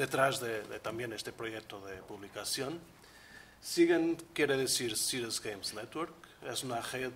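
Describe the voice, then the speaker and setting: Speaking at a fairly slow pace in a Portuguese accent, a man keeps a medium pitch with ordinary pitch variation. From Portugal, Porto. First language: Portuguese (speaking Spanish). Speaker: researcher, leader of a European project. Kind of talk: conference presentation.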